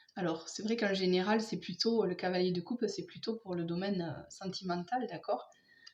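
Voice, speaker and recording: Soft-spoken and somewhat breathy, a woman talks at a moderate pace. Her intonation stays fairly even. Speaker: tarot card reader. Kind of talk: tarot reading for viewers.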